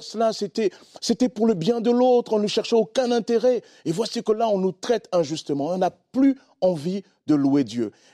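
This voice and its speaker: At a moderate pace, the speaker's dark, mellow voice swings very widely in pitch, recorded dry and close with no echo against a very clean, silent background. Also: man. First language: not French (speaking French). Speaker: pastor. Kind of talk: sermon-style teaching on a TV talk show. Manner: simple plain speech.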